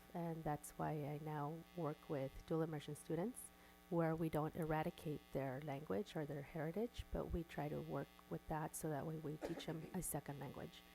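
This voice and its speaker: Over music in the background, a woman with a Spanish accent talks at a moderate pace in a very deep, low pitch with fairly even intonation. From Coachella Valley, California; immigrant. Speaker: school board member, educator. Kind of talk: board workshop discussion.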